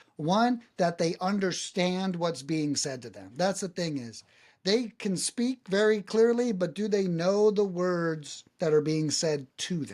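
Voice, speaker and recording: A man with an American accent speaks at a high pitch with lively intonation. The recording is very clean, and the background is silent. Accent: New England-sounding American. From USA, not New England. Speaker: cold calling agency founder. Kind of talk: podcast interview.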